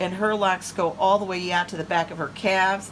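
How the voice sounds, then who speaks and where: Woman at a moderate pace and medium pitch, with noticeable background noise. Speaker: doll collector vlogger. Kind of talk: casual show-and-tell vlog. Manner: casual with frequent fillers.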